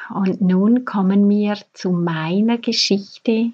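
A woman speaks at a very slow pace with a medium pitch and fairly even intonation. Her tone is dark and mellow, and somewhat breathy. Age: 40s. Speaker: fertility coach and podcast host. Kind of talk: personal storytelling monologue; advice to listeners.

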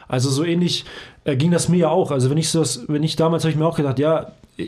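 Speech comes at a very fast pace. There is a somewhat breathy quality to it. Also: man. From Hamburg, northern Germany. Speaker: physiotherapist and trainer. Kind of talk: casual chat.

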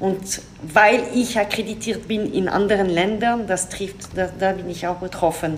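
A woman talks at a medium pitch and a fairly slow pace with fairly even intonation, amid noticeable background noise and audible room echo. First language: French (speaking German). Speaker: diplomat. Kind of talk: interview. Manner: halting.

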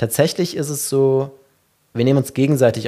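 With a dark, mellow tone, a man speaks at a moderate pace and ordinary pitch variation. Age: 30s. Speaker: meditation company founder. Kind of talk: interview conversation.

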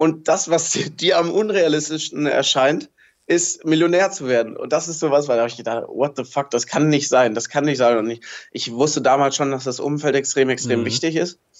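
This man's voice sits at a fairly high pitch, with ordinary pitch variation. He keeps a moderate pace. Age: 20s. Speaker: fashion label founder. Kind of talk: interview. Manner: animated.

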